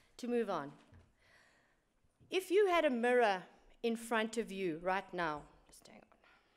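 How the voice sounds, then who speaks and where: With a South African accent, a woman with a fairly high voice speaks at a fairly slow pace, her pitch swinging very widely and her loudness varying greatly, with long, frequent pauses. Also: very clean recording, silent background. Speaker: engineering director. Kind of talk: conference talk.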